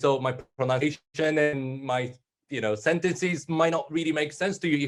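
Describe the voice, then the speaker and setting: Over a quiet background, a man with a Japanese accent talks at a moderate pace in a fairly high pitch. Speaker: panel moderator. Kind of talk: panel discussion.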